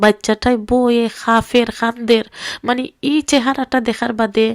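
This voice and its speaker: A woman speaks with a Sylheti accent at a fairly high pitch. The sound is dry and close, with no echo. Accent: Sylheti Bengali. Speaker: vlogger. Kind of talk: video monologue. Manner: emotional.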